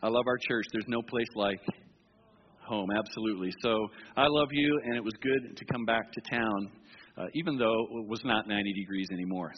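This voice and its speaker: This man has an unremarkable speaking voice at a medium pitch, with ordinary pitch variation and a moderate pace. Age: 60s. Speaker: pastor. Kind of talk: sermon.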